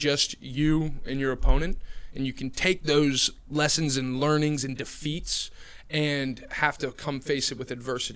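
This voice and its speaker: This man has an American accent, a fairly high pitch, and fairly even intonation. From New Jersey. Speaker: recruiter. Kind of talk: podcast interview.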